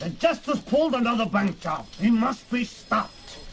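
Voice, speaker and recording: Over clear background noise, a man puts on a gruff character voice at an extremely high pitch, speaking at a moderate pace with lively intonation. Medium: audio drama. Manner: gruff, barking.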